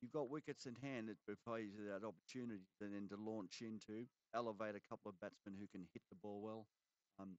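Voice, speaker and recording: A man speaks with an Australian accent at a fairly quick pace. His pitch is fairly low, his intonation fairly even, and the sound dry and close with no echo. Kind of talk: live commentary; casual chat. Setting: commentary box. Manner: halting.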